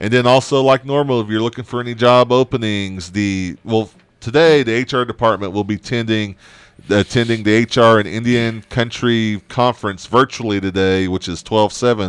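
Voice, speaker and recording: In a dry room with no echo and a quiet background, a man speaks at a moderate pace with an American accent and fairly even intonation. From Oklahoma. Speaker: radio show host. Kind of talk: casual chat; news reading. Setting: studio. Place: studio. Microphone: studio mic.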